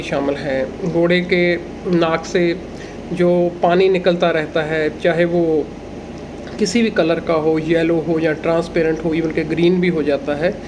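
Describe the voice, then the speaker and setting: Against noticeable background noise and audible room echo, a man speaks. His pitch is high and his intonation fairly even. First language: Punjabi (speaking Hindi). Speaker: agricultural educator, livestock and horse expert. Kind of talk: tutorial.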